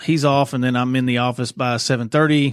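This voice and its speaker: Here a man with a Southern US accent talks at a fairly quick pace. His pitch is medium and his intonation fairly even. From Arkansas, Little Rock. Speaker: police chief. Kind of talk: interview.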